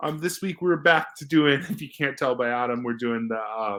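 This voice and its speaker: An unremarkable speaking voice, with ordinary pitch variation and a moderate pace. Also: man. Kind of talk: casual movie review talk.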